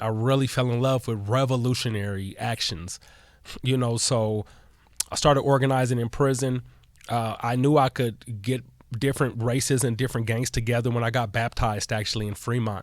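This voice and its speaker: With an American accent, a man talks at a fairly quick pace and medium pitch. He has an ordinary speaking voice with fairly even intonation. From Denver, Colorado. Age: 40s. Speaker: activist and former mayoral candidate. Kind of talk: podcast interview.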